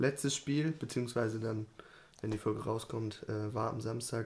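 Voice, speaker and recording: A man's somewhat breathy voice. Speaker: podcast co-host. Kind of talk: casual chat.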